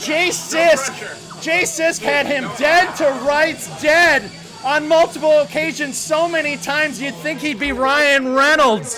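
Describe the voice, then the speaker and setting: A man with an extremely high pitch uses a raised, projected voice at a very slow pace, with hardly any pauses and ordinary pitch variation. Music plays in the background, and room echo is audible. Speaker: esports caster. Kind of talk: live commentary. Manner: loud; animated.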